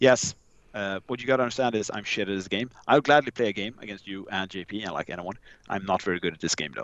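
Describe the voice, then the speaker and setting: A very fast man's voice, fairly low in pitch, with ordinary pitch variation and a Swedish accent. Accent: Swedish, merges V and W. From Sweden. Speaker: podcaster guest, charity raffle organizer. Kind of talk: casual chat.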